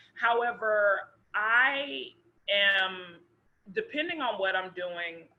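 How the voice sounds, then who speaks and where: A woman with an American accent at a very slow pace, with long, frequent pauses, a medium pitch and lively intonation. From US South, Memphis, Tennessee. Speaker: actor. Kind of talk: casual chat.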